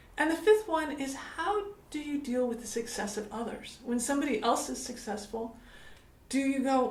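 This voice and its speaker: A woman with an American accent, high in pitch, with lively intonation at a moderate pace, amid noticeable background noise and audible room echo. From United States. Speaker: business coach. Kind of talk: motivational talk to camera.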